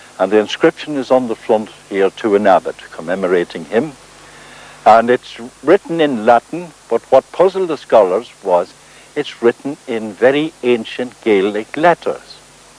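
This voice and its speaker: Over noticeable background noise, a man speaks at a moderate pace and medium pitch with lively intonation, the sound dry and close with no echo. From South Armagh, Northern Ireland. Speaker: folklorist and writer. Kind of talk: documentary presenting on location.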